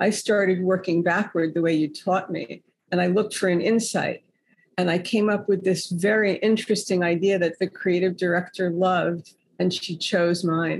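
Her fairly even intonation and moderate pace mark this woman's a normal speaking voice, pitched medium, with an American accent. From New York City. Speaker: author. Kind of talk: casual interview chat.

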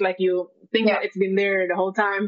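There's an Indonesian accent in this woman's speech. She talks at a medium pitch and a moderate pace. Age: young. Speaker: environmental economist. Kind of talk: panel discussion. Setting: live stream. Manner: halting.

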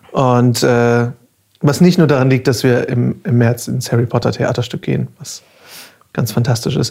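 A man's voice sits at a medium pitch, with ordinary pitch variation. The tone is dark and mellow, and somewhat breathy. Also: moderate pace. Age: 30s. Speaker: podcast host, voice actor and artist. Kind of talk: casual chat; podcast intro.

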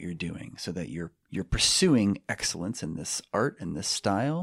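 A man speaks at a moderate pace with an American accent. His pitch is very deep and low. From US West Coast, San Francisco Bay Area. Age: 40s. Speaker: philosophy professor and judo coach. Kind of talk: casual interview chat. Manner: clear-spoken.

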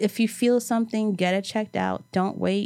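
A woman with a fairly high voice and an American accent has a plain, everyday voice with ordinary pitch variation. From New York City, Brooklyn. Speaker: event planner, cancer survivor. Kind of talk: casual interview.

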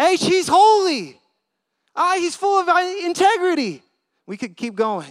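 A man's voice with very wide pitch swings, on a very clean recording with a silent background. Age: 30s. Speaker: youth minister preaching. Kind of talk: sermon. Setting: church with congregation.

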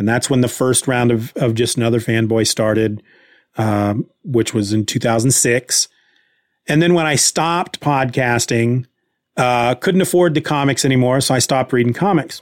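A man's medium-pitched voice at a moderate pace, with ordinary pitch variation and very even loudness. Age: 40s. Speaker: podcast host. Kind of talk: casual solo chat. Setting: livestream. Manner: casual, hesitant.

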